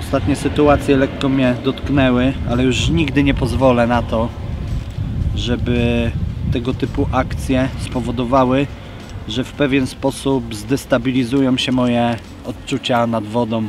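Over noticeable background noise, a man talks at a fairly slow pace with fairly even intonation, the sound dry with no echo. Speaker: carp angler vlogger. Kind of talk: casual vlog chat. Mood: reflective, a bit bitter. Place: waterside.

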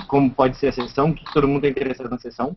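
A man speaks with a Brazilian accent. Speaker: game designer. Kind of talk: casual chat. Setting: video call.

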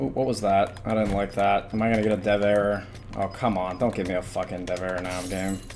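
A man talks very fast in an animated tone while noticeable background noise carries on. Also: fairly low pitch for a man. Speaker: gaming YouTuber and streamer. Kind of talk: gameplay commentary and video intro. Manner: casual, filler-heavy; animated, exclamatory during gameplay.

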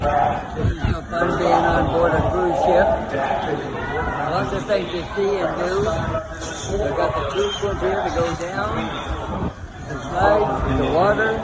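A man at a fairly slow pace, with long, frequent pauses and loud background noise. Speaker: solo cruiser. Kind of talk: casual vacation video narration. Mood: cheerful, enthusiastic. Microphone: phone near.

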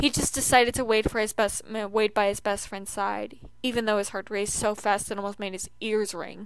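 With fairly even intonation, the speaker uses a natural reading voice.

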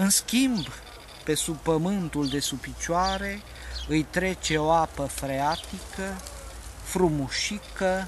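Very slow speech, dry with no echo, amid noticeable background noise. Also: man. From Romania. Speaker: poet. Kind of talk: poetry reading, satirical prose-poem read aloud. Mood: calm, wry. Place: open country.

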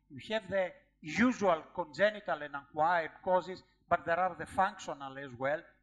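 A man with a Greek accent, high-pitched for a man, at a moderate pace. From Greece. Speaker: professor and endocrinologist giving a lecture; professor, endocrinologist giving a lecture. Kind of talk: lecture. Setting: conference lecture hall with audience questions. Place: hall.

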